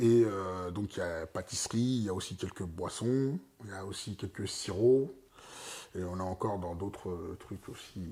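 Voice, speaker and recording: At a moderate pace, a man talks in a dark, mellow tone, fairly low in pitch, with ordinary pitch variation. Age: 30s. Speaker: entrepreneur opening a vegan pastry shop. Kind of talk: casual interview. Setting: at his home. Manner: hesitant, many fillers.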